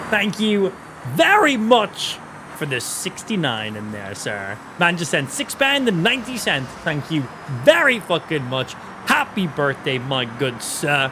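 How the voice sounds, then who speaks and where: Noticeable background noise runs behind a man speaking at a fairly slow pace. His fairly high pitch swings very widely. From Ireland. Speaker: gaming streamer. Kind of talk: live gaming stream commentary with chat. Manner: animated.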